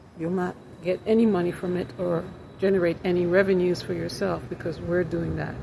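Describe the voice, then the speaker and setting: At a moderate pace, a woman talks against noticeable background noise. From Jamaica, moved to US at six. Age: 60s. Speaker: self-employed design consultant and vlogger. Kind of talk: casual vlog monologue. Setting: outdoors then building lobby.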